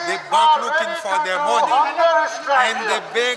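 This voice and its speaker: A man talks in a raised, projected voice amid crowd noise, with audible room echo. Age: 70s. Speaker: taxi driver at a protest. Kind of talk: street interview. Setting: outdoors at a protest. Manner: halting.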